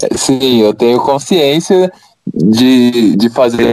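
This man speaks in a medium pitch with a dark, mellow tone. His intonation is lively. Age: 20s. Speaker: engineering student. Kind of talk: casual chat.

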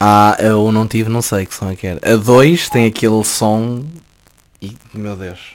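A man with a fairly low pitch speaks in an ordinary speaking voice at a fairly slow pace. His intonation stays fairly even, while his loudness swings widely. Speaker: journalism student. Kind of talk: casual chat.

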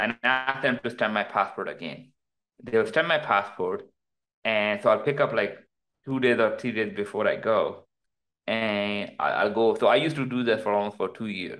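In a Pakistani accent, a man talks at a moderate pace with a medium pitch. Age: 30s. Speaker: crypto entrepreneur. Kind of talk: casual interview. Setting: remote call.

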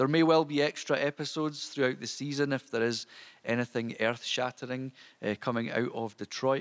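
A man with a Scottish accent at a fairly quick pace, dry and close with no echo, on a very clean recording with a silent background. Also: medium pitch for a man, fairly even intonation. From Scotland. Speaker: podcast host. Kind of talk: solo podcast monologue. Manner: informal, hesitant with fillers.

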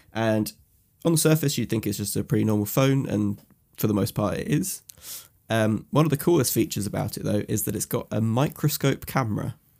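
Over a very clean recording with a silent background, a man talks at a fairly quick pace and medium pitch. His tone is dark and mellow, with vocal fry and lively intonation. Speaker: podcast host. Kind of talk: casual banter podcast.

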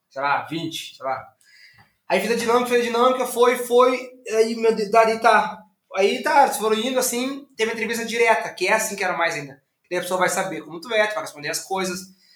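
The speaker's intonation is lively, and the room echo can be heard. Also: man, high pitch for a man, fairly quick pace. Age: 30s. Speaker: entrepreneur. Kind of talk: interview. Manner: fast.

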